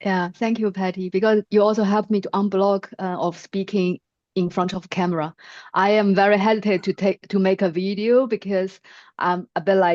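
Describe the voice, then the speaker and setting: A woman with a non-native accent, medium pitch and monotone, flat intonation at a moderate pace, in a dry, close sound with no echo against a quiet background. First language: not English. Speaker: workshop participant. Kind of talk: question in a live webinar. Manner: halting.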